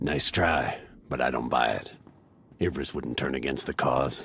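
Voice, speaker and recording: A man uses a put-on character voice, very deep and low in pitch and raspy. He speaks at a moderate pace. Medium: video game. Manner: brisk, commanding.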